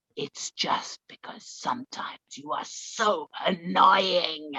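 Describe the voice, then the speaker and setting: Using a put-on character voice, a female-sounding speaker booms at medium pitch and a fairly slow pace. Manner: annoyed, telling a joke punchline.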